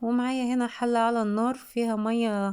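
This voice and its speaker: Against a quiet background, a woman speaks at a fairly slow pace in a dark, mellow tone with monotone, flat intonation. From Egypt, Alexandria. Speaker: cooking channel host. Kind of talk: cooking tutorial. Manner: casual, chatty.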